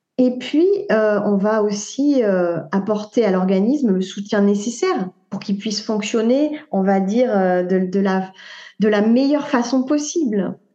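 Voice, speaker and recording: A woman's fairly high voice, dark and mellow in tone, moves fairly slowly over a quiet background. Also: ordinary pitch variation. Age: 40s. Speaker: naturopath and author. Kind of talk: interview. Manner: halting.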